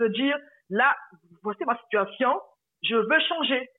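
Moderate pacing and ordinary pitch variation in a woman's speech, pitched fairly high. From Republic of the Congo. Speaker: personal finance coach. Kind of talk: interview.

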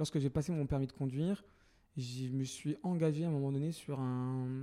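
On a very clean recording with a silent background, a man with a fairly high pitch and a dark, mellow tone talks at a fairly quick pace. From Paris, France. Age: 30s. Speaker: entrepreneur and activist. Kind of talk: interview conversation.

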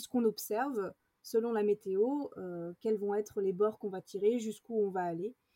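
A woman's fairly high voice with a dark, mellow tone, ordinary pitch variation and a dry, close sound with no echo. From France, rural village. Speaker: adventurer and actress. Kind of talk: interview. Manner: halting, many fillers.

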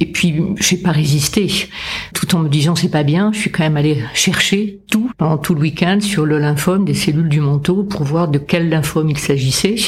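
Words come at a fairly slow pace. Noticeable background noise sits behind the voice. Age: 70s. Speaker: cancer patient and writer. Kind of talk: testimony. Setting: studio.

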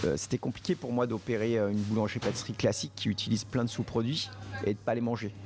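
This man talks at a very fast pace in a medium pitch, with fairly even intonation and very even loudness over music in the background. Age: 40s. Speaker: pastry chef and bakery owner. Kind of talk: casual interview.

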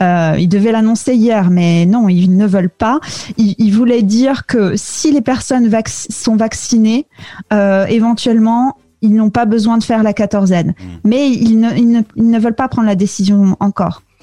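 A woman's fairly high voice, fairly slow, with ordinary pitch variation and a dry, close sound with no echo. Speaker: podcast producer, French expatriate. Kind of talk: interview. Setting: video call. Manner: hesitant, many fillers.

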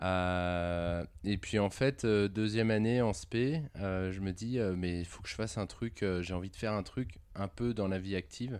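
A very slow pace with hardly any pauses and ordinary pitch variation. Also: man, fairly low pitch for a man. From France, Lyon area. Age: 20s. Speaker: engineer and operations executive. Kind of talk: interview.

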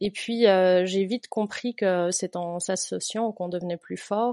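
Speaking at a fairly slow pace, a woman with a dark, mellow tone and medium pitch keeps her intonation fairly even, and the sound is dry and close with no echo. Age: 30s. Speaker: teacher and patient-association volunteer. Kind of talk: interview. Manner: halting.

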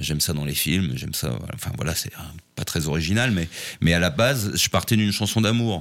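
This man's voice is very deep and low in pitch, with vocal fry. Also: lively intonation, moderate pace. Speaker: singer-songwriter. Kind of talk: interview. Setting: studio. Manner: halting.

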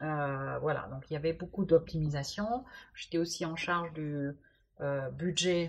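Using a fairly low pitch with ordinary variation, a woman talks at a fairly slow pace with long, frequent pauses. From Germany. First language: German (speaking French). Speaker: supply chain executive. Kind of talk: interview.

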